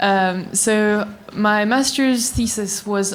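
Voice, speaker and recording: Medium-pitched woman with a French accent and fairly even intonation. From France. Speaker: graduate student. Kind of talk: panel discussion.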